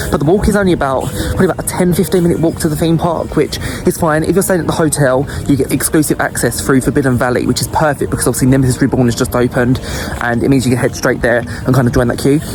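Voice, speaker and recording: With music in the background, a man with an Essex accent talks very fast in a fairly high pitch, his loudness very even and his pitch variation ordinary. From Essex, England. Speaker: travel and theme park vlogger. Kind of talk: vlog narration. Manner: animated.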